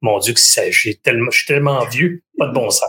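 This is a man speaking. He talks with a Quebec accent. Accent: Québécois French. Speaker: podcast host interviewing entrepreneurs. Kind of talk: casual interview. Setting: live stream.

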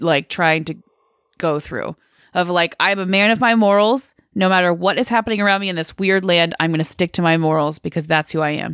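With lively intonation and a medium pitch, a woman speaks in an ordinary speaking voice, recorded with a dry, close sound and no echo. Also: very clean recording, silent background. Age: 20s. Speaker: film podcast host. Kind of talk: casual chat.

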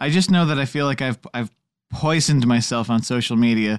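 This man talks at a medium pitch over a quiet background. The sound is dry and close, with no echo. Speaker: podcast co-host. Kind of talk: casual chat. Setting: in-person recording with microphones. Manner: loud.

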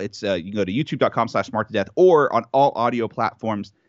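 A man talks fairly quickly at a medium pitch with an American accent. He has an ordinary speaking voice. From Texas. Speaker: wrestling podcaster. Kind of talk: casual chat.

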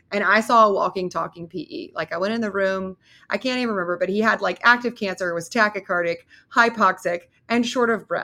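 A woman's bright, sharp, medium-pitched voice with ordinary pitch variation, on a very clean recording with a silent background. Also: fairly quick pace. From US Southeast. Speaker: emergency physician and researcher. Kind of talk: interview.

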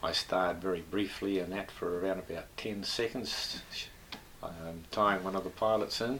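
With a New Zealand accent, a man speaks at a very deep, low pitch and a fairly slow pace, his intonation fairly even. Long, frequent pauses break up his speech over noticeable background noise. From New Zealand, Northland. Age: 70s. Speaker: retired air force and aviation engineer. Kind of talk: interview, casual reminiscence. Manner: hesitant, with frequent fillers.

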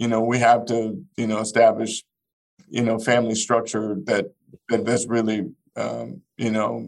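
A man with an American accent speaks at a moderate pace in a plain, everyday voice. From Arkansas, US South. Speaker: business executive. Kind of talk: interview.

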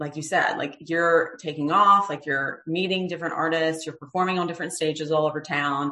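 In an American accent, a woman speaks with a very deep, low pitch and ordinary pitch variation. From US South Carolina. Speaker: podcast host. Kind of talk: casual interview chat.

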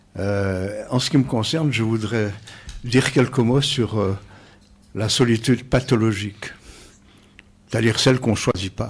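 A man speaks at a medium pitch in a somewhat breathy voice, moving at a fairly slow pace with fairly even intonation and long, frequent pauses. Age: old. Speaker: psychosociologist. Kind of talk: radio panel discussion. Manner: formal.

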